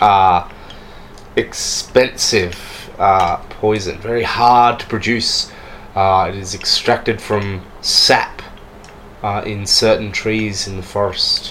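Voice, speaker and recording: Amid noticeable background noise, a man speaks very slowly at a fairly low pitch in a monotone, flat delivery, pausing long and often. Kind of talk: tabletop RPG game master narration, describing scenes and voicing characters. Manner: descriptive, storytelling, casual with hesitations and filler.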